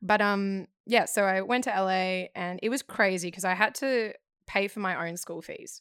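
A woman's voice in a very clean, dry, close recording with a silent background and no echo. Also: medium pitch for a woman, moderate pace. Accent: Australian. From Australia. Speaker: actor. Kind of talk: casual chat. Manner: animated.

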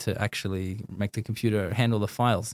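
Recorded very cleanly with a silent background, a man with an Australian accent speaks at a fairly quick pace in a fairly low pitch with fairly even intonation. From Australia, Sydney. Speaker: designer and artist. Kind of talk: casual interview.

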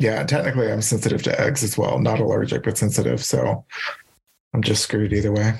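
A man with an American accent talks at a very fast pace in a fairly low voice with vocal fry and lively intonation. His loudness stays very even. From Louisiana, US South. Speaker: podcast host and yoga teacher. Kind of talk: casual chat.

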